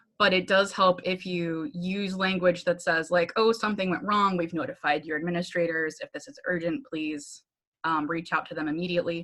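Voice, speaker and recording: The woman's pitch is fairly low, with ordinary pitch variation. Her loudness swings widely. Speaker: Salesforce admin and trainer. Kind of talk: online training presentation. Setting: video call. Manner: fast; casual, with filler ums.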